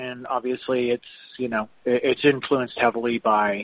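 A man talks in a West Texas accent. His pace is fairly slow. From West Texas (Lubbock). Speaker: chef and restaurant owner. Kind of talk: interview.

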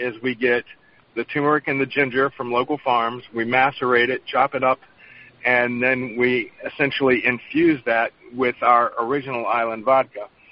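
With a North Carolina accent, a man speaks at a moderate pace in a medium pitch, his intonation monotone and flat. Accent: US Southern (North Carolina). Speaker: chef and vodka distiller. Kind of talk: interview.

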